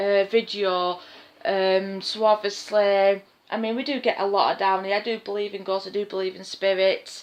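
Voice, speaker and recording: In a Lancashire accent, a woman talks fairly slowly at medium pitch in a flat monotone. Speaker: vlogger. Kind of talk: casual vlog. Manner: quiet; hesitant, many fillers.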